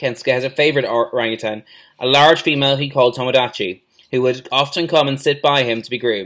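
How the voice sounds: Quiet background, with a natural reading voice.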